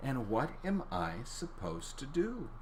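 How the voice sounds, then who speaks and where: A put-on character voice in a low-to-middle pitch, fairly slow, over clear background noise. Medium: read story.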